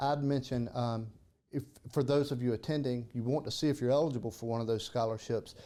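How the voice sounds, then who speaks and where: With a strong South Carolina accent, a man speaks in a dark, mellow tone with fairly even intonation. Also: medium pitch for a man, fairly quick pace. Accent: Southern (South Carolina), thick. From South Carolina (Kershaw). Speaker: podcast host. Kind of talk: casual interview.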